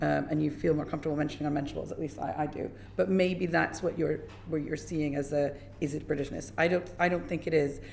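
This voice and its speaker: A woman with an American accent speaks very fast in a very deep, low pitch with vocal fry. Her pitch varies in an ordinary way, and room echo is audible. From US, New York area. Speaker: menstrual health educator. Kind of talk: parliamentary committee evidence.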